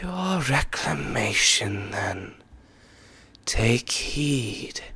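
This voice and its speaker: A man whispering in a put-on character voice at a very slow pace. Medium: read story. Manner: calm and solemn.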